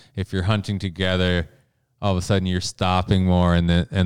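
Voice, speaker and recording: In an Upper Midwest accent, a man with a very deep, low pitch talks at a moderate pace in a monotone, flat intonation, with a dry, close sound with no echo and a very clean recording with a silent background. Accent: Upper Midwest (Minnesota). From Minnesota. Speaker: backcountry bowhunter. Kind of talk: interview. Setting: studio.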